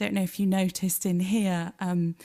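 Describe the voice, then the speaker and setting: In a very clean recording with a silent background and a dry, close sound with no echo, a woman with a British accent speaks at a fairly low pitch in a dark, mellow tone. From Britain. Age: 40s. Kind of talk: public lecture.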